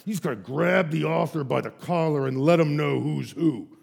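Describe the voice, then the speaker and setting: A man puts on a character voice. He speaks at a moderate pace with a fairly high pitch. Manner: tough, macho.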